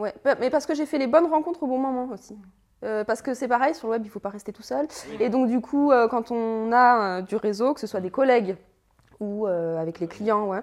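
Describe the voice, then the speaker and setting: At a moderate pace, a woman talks in a normal speaking voice with a fairly high pitch and lively intonation. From France, Annecy. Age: 30s. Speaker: web writer and SEO consultant. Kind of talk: casual chat.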